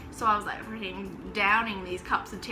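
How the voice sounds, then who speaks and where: Amid noticeable background noise and audible room echo, a woman talks at a very fast pace. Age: 20s. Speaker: vlogger. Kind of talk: personal story vlog. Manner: animated.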